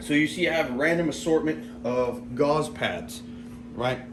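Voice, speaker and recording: Amid noticeable background noise and audible room echo, a man with a medium pitch speaks with lively intonation. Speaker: tactical gear reviewer. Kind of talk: casual gear tutorial. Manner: rambling, halting.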